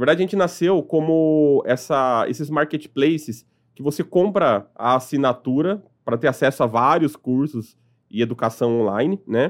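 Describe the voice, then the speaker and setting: A man with an unremarkable speaking voice, fairly high in pitch, at a moderate pace with ordinary pitch variation, over a quiet background. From São Paulo, Brazil (partly raised in Piauí). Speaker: company revenue director. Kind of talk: interview conversation.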